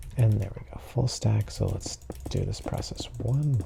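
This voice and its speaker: Someone soft-spoken talks in a calm tone over noticeable background noise. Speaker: gaming sleep-content creator. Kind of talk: relaxed gameplay commentary for sleep. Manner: soft-spoken, calm, unhurried.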